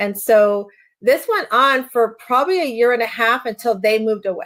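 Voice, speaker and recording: In a very clean recording with a silent background, a woman uses an ordinary speaking voice, fairly high in pitch with ordinary pitch variation. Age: 60s. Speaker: life coach and author. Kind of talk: interview testimony. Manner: conversational, with frequent fillers.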